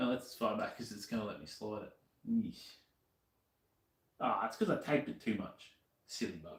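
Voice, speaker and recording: A man with an Australian accent speaks at a moderate pace, his loudness swinging widely, with long, frequent pauses. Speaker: streamer doing motorcycle modding. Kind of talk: casual live-stream chat while working.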